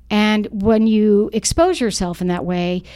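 At a fairly slow pace, the speaker talks with an American accent in a dark, mellow tone. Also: woman. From US South, Charlotte, North Carolina. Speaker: parent group founder and activist. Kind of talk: podcast interview.

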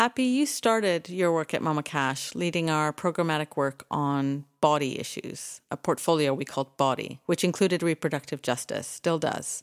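A woman with a Canadian accent and a very deep, low pitch, at a moderate pace with hardly any pauses and ordinary pitch variation, in a dry, close, very clean recording with no echo and a silent background. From Canada, Toronto. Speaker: podcast co-host, foundation executive director. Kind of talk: casual chat. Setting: studio.

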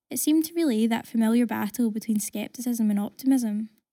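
In a Glaswegian accent, a woman speaks fairly quickly at a fairly high pitch, her tone dark and mellow and her intonation fairly even, on a very clean recording with a silent background and a dry, close sound with no echo. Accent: Glaswegian Scottish. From Glasgow, Scotland. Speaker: writer. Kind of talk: reading aloud.

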